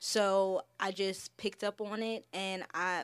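A woman's monotone, flat delivery with an American accent. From Delaware and Philadelphia area, US. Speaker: fashion designer and business owner. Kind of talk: casual interview.

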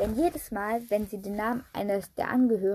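The clip offers a natural reading voice with fairly even intonation.

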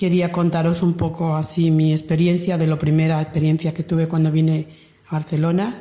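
A woman's fairly low voice at a fairly quick pace, monotone and flat in intonation, with very even loudness. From Andalusia, Lucena (Córdoba). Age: 60s. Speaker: emigrant worker. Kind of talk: testimony.

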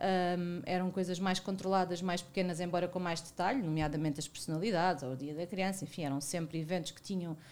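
A woman talks at a fairly quick pace with hardly any pauses. Her fairly low voice keeps a fairly even intonation. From Portugal, Algarve (Lagos). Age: 40s. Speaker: media marketing and talent manager. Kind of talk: casual interview. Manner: halting, many repetitions and fillers.

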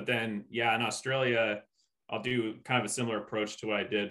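With fairly even intonation, a man talks in a normal speaking voice pitched fairly low. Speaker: ultra runner guest. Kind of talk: casual roundtable conversation.

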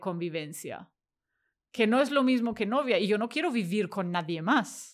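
In a very clean recording with a silent background, a woman speaks at a medium pitch. She talks at a fairly slow pace, with lively intonation. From Germany. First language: German (speaking Spanish). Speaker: tech worker. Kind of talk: interview. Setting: at home.

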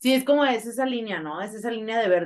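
A woman's voice with very wide pitch swings. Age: 20s. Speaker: podcast co-host. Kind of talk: live casual chat with listeners. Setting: online live session with audience.

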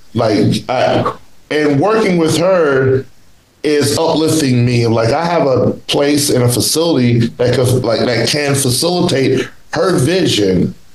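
A man talks at a fairly slow pace in a fairly high voice. His loudness stays very even, with noticeable background noise behind him. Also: ordinary pitch variation. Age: 40s. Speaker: podcast host. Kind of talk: casual chat. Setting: video call. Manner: animated.

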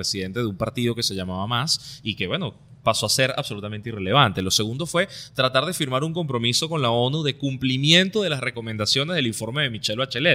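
Talking at a very fast pace, a man uses a medium pitch, lively intonation and a bright, sharp tone. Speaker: political commentary podcast co-host. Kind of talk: casual political discussion.

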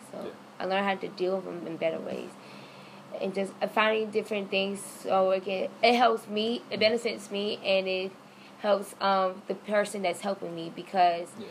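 Delivering flat, monotone intonation at a moderate pace, a woman speaks at a medium pitch. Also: big swings in loudness. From Florida. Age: 20s. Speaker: college student. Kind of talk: casual interview.

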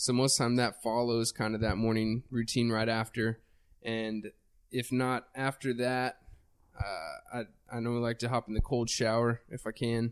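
A man with an American accent speaks in a monotone, flat intonation, with a dry, close sound and no echo. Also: medium pitch for a man, fairly slow pace. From Texas. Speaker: fitness podcast co-host. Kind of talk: casual chat.

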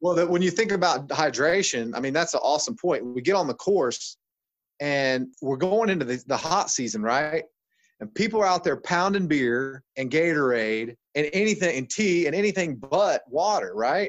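With an unremarkable speaking voice, a man talks at a moderate pace and fairly high pitch, his intonation lively. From Ohio, US Midwest. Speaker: chiropractor. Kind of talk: interview.

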